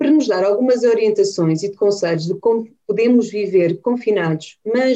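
This woman's voice has a dark, mellow tone. She talks at a moderate pace. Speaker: podcast host. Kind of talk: interview. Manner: formal.

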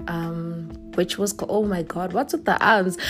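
Through noticeable background noise, a woman speaks at a medium pitch with ordinary pitch variation. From South Africa, Gauteng. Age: 20s. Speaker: podcast host, university student. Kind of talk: casual solo podcast talk.

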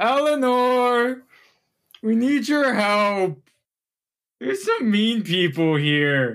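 Someone uses a put-on character voice at a very slow pace with long, frequent pauses, on a very clean recording with a silent background. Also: man, high pitch for a man. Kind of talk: simple, childlike. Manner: calling out for help.

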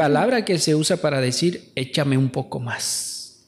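A man talks at a moderate pace in a western Bolivian accent. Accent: noticeably western Bolivian (La Paz). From Bolivian highlands (La Paz). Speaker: podcast host. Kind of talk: casual chat. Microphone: saturated, poor audio.

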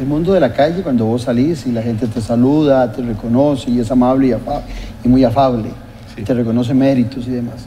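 Over noticeable background noise and audible room echo, a man talks at a fairly quick pace and medium pitch with fairly even intonation. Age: 60s. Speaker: political TV host. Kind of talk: interview.

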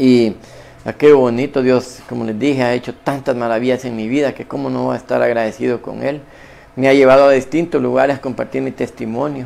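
Over noticeable background noise, a man talks at a medium pitch and a fairly quick pace, his intonation monotone and flat. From Honduras, Copán. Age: 50s. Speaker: businessman giving religious testimony. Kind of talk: testimony.

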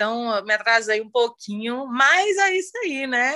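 Against a quiet background, a woman talks at a fairly high pitch with a bright, sharp tone and a dry, close sound that has no echo. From Bahia, Brazil (Salvador). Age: 40s. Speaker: feminist activist, philosophy student. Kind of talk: casual chat.

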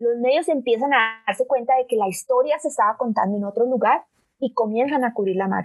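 A high-pitched woman at a fairly quick pace, with ordinary pitch variation. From Colombia, Bogotá. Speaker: digital rights organization director. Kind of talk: interview.

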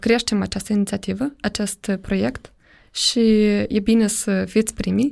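The speech is very slow, in a very clean recording with a silent background. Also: woman. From Moldova. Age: 30s. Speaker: startup program director. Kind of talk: podcast interview.

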